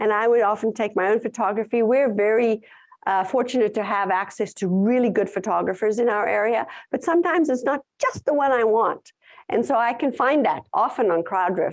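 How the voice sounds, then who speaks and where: With a South African accent, a woman talks at a fairly quick pace and a fairly high pitch. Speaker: tourism content writer and conference speaker. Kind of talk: conference talk with audience Q&A.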